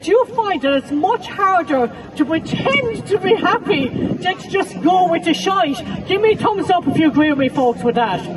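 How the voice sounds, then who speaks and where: A woman with an Irish accent, very wide pitch swings and a moderate pace, crowd noise behind her. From west of Ireland. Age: 50s. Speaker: comedian and mental health counsellor. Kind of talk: stand-up. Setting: festival stage with audience. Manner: animated.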